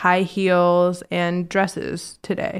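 On a very clean recording with a silent background, a woman with an American accent speaks at a fairly low pitch. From Virginia. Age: 20s. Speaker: interior designer. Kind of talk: casual chat.

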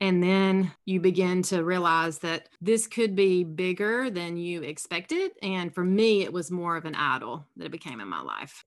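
A woman with a Southern US accent speaks at a moderate pace, her pitch fairly low and its variation ordinary. The recording is very clean, with a silent background. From South Carolina, US South. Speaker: alcohol-free coach and podcast host. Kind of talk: casual interview.

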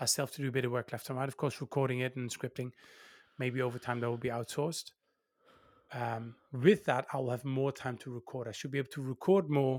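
A man's very fast delivery carries fairly even intonation. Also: dry, close sound with no echo. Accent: Dutch. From Netherlands. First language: Dutch. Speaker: YouTuber. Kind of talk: interview.

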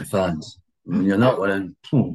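Vocal fry runs through speech at a moderate pace with very wide pitch swings. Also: man. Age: 60s. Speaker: retired footballer. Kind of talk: casual interview.

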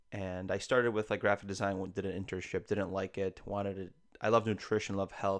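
Against a quiet background, a man speaks fairly quickly at a fairly low pitch, his intonation monotone and flat. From Poland, then raised in Chicago. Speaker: ICU travel nurse and podcaster. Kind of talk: casual chat.

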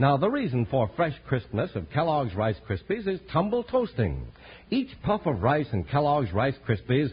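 A man speaks in a fairly high pitch with a somewhat breathy voice. His pitch swings very widely. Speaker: commercial announcer. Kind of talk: radio ad and announcer. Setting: old transcribed radio broadcast.

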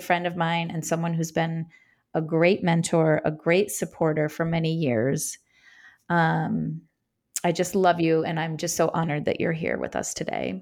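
A normal speaking voice moves at a fairly slow pace. The recording is very clean, with a silent background. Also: woman. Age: 50s. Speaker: podcast co-host. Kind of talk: casual chat.

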